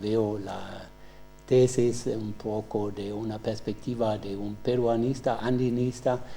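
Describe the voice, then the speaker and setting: A man with a German accent speaks at a very slow pace, his medium-pitched voice dark and mellow in tone with monotone, flat intonation. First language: German (speaking Spanish). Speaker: professor, examiner. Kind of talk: doctoral examination questioning. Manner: halting, with many fillers.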